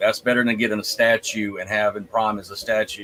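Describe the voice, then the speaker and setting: Noticeable background noise sits behind the speaker. He is a man with a medium-pitched voice. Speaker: podcast host. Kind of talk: casual panel discussion. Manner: stutters often.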